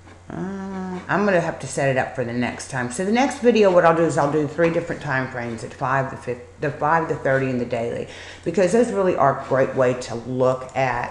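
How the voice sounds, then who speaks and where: Her voice is very deep and low, with lively intonation, a fairly quick pace, and hardly any pauses. This woman is heard with audible room echo and noticeable background noise. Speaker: stock market educator. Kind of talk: screen-share trading tutorial. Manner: casual, hesitant with fillers.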